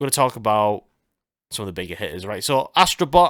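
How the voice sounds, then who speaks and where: Speaking with a northern English accent, a man uses lively intonation at a medium pitch in a very clean recording with a silent background. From northern England. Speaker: gaming and music podcast host. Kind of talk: casual chat. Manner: hesitant, many fillers.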